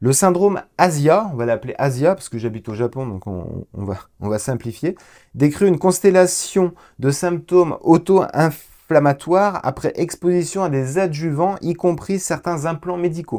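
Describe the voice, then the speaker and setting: Speaking at a fairly slow pace, a man with a high pitch and a dark, mellow tone uses lively intonation. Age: 40s. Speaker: patient sharing testimony. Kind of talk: testimony. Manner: hesitant, many filler sounds.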